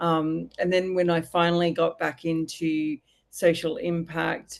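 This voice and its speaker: A woman's fairly low voice in an Australian accent, with ordinary pitch variation and a quiet background. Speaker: social impact consultant and business founder. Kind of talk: podcast interview. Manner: casual, with many fillers and restarts.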